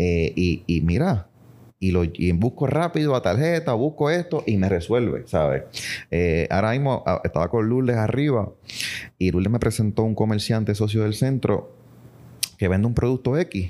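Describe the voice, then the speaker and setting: On a very clean recording with a silent background, a man with a dark, mellow tone and fairly low pitch speaks with very even loudness and very wide pitch swings. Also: moderate pace. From Puerto Rico. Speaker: business association president. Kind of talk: casual interview. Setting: association offices.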